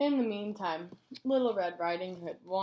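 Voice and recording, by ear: The intonation is lively as the text is read aloud in a natural voice.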